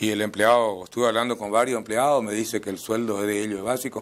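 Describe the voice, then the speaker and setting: A man is the one talking. His voice sits fairly low. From Misiones, Argentina. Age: 50s. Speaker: mayoral candidate; candidate. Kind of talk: interview. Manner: halting. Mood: calm, earnest. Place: studio. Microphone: lapel.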